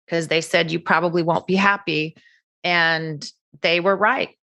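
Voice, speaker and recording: At a moderate pace, a woman speaks with a fairly low pitch, a bright, sharp tone and monotone, flat intonation over a quiet background. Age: 60s. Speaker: cosmetic surgery patient. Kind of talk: interview.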